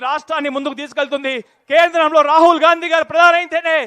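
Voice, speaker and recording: In a raised, projected voice, a man speaks at an extremely high pitch with a bright, sharp tone and a dry, close sound with no echo. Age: 30s. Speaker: politician. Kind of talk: political rally speech.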